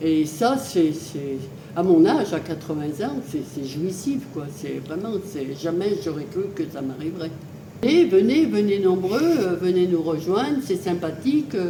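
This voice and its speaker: Over noticeable background noise and audible room echo, a woman with a fairly low pitch speaks at a very slow pace, her pitch swinging very widely. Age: 80s+. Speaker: fitness club member. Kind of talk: testimony. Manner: hesitant, many fillers.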